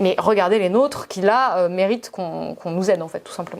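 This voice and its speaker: A woman's medium-pitched voice at a very fast pace. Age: 20s. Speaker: journalist. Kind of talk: debate. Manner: halting.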